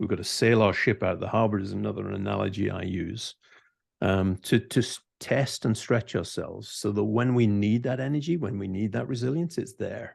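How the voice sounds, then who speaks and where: Over a quiet background, a man with a Scottish accent speaks at a fairly low pitch with vocal fry. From Scotland. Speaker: CEO, author, leadership mentor. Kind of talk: podcast interview answer.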